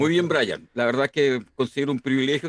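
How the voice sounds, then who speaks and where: A man with a plain, everyday voice talks at a fairly quick pace in a fairly high pitch, the sound dry and close with no echo. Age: 60s. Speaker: university professor. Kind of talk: interview. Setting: live stream.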